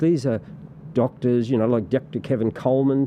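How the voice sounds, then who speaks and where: A man's medium-pitched voice with an Australian accent, at a moderate pace. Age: 60s. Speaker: political party representative. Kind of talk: podcast interview. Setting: studio. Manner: halting, many repetitions and fillers.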